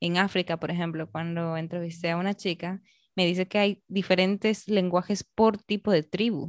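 A woman with a normal speaking voice talks at a moderate pace in a fairly low pitch with fairly even intonation. The sound is dry and close with no echo, over a quiet background. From Peru, Arequipa. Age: 20s. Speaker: podcast host. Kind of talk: interview.

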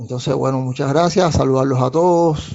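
This man's voice sits at a medium pitch and stays fairly even in its intonation. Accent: Cuban. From Cuba, Havana. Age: 50s. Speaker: industrial engineer. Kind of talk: monologue to listeners. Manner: halting, many fillers and repetitions.

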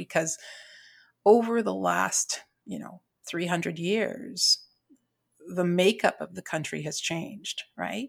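With long, frequent pauses and vocal fry, a woman at medium pitch speaks at a fairly slow pace on a very clean recording with a silent background. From Trinidad. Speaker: teacher. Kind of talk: casual interview.

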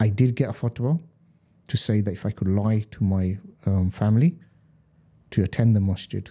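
With a London accent, a man speaks at a fairly low pitch with ordinary variation, in a very clean, dry, close recording with a silent background and no echo. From London (Hackney), Gujarati Indian heritage. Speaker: tour guide, convert to Islam. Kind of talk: interview, personal testimony.

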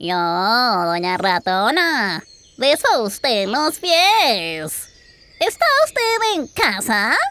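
A woman uses a put-on character voice at a fairly high pitch. She speaks at a very slow pace. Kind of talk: children's storytelling, comic character voice. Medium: read story. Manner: courteous, flattering, eager.

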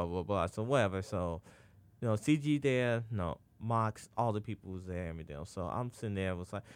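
A man in a normal speaking voice, lively in intonation and fairly quick, on a very clean recording with a silent background. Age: 30s. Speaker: podcast co-host. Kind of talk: casual chat.

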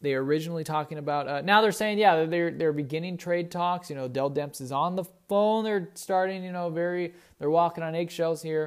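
In a very clean recording with a silent background, a man with a high pitch speaks at a fairly quick pace. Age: 20s. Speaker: sports podcast host. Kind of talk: casual sports talk. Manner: animated.

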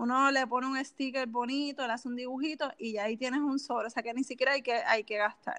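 Speaking in a Puerto Rican accent, a woman with a high pitch and a bright, sharp tone talks at a very fast pace with fairly even intonation and hardly any pauses. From Puerto Rico (Canóvanas). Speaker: personal finance specialist. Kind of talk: interview.

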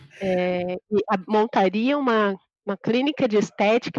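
An ordinary speaking voice with ordinary pitch variation and a dry, close sound with no echo. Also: woman. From interior of São Paulo state, Brazil. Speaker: project manager. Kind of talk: interview.

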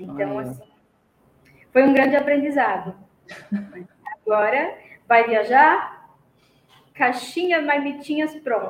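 A woman with a high voice speaks with long, frequent pauses and big swings in loudness, and audible room echo surrounds her. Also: ordinary pitch variation, fairly slow pace. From Brazil, Paraná. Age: 50s. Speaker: retired student of cooking course. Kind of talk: testimony.

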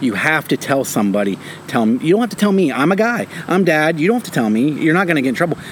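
A man's fairly high pitch in very wide swings, his loudness very even and his pace very fast, over noticeable background noise. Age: 30s. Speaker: podcast co-host, stay-at-home parent. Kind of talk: casual chat.

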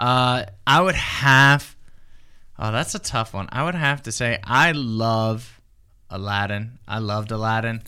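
In a very clean recording with a silent background, a man with an American accent speaks at medium pitch in a bright, sharp tone with ordinary pitch variation. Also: fairly slow pace. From US South. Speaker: youth pastor. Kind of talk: Bible study chat. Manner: halting, many fillers.

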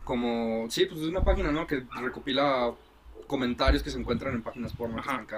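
Noticeable background noise accompanies speech at a fairly quick pace with ordinary pitch variation. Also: man, medium pitch for a man. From Mexico, Guadalajara. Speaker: podcast co-host. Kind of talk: casual chat. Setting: outdoors. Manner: animated.

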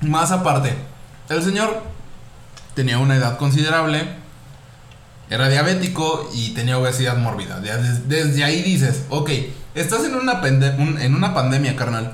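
Over noticeable background noise and audible room echo, a man with a Mexican accent speaks at a moderate pace with a fairly high pitch, ordinary pitch variation and long, frequent pauses. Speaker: podcast host. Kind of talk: casual chat.

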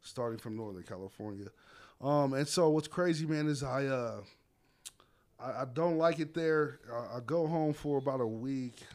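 A man's ordinary speaking voice with an American accent, fairly high in pitch, with ordinary pitch variation and a moderate pace. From Las Vegas, Nevada. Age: 30s. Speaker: head football coach. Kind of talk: casual interview. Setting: coach's office.

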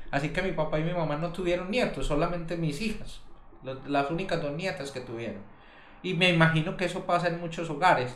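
Audible room echo surrounds a man speaking at a fairly quick pace. His pitch is high, with ordinary variation. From Colombia. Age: 40s. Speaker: podcast co-host. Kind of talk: casual discussion.

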